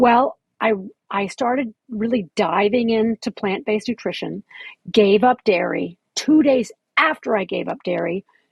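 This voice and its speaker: Lively intonation and vocal fry in a woman's speech. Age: 60s. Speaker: fitness instructor and author. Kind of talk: casual chat interview. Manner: halting, with fillers.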